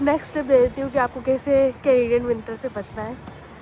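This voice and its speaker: Over noticeable background noise, the speech moves at a moderate pace with fairly even intonation. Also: woman. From India, Delhi. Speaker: vlogger. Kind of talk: casual vlog. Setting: outdoors.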